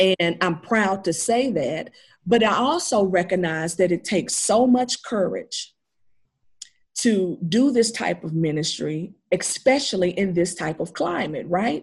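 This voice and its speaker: A woman with an American accent speaks at a fairly slow pace in a medium pitch. Her voice is somewhat breathy, with ordinary pitch variation. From Nashville, Tennessee (US South). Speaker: minister and community center leader. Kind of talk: interview.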